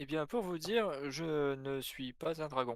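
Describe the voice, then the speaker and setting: A man performs a put-on character voice at a fairly high pitch. He keeps to a fairly slow pace. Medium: actual play. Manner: polite, hesitant.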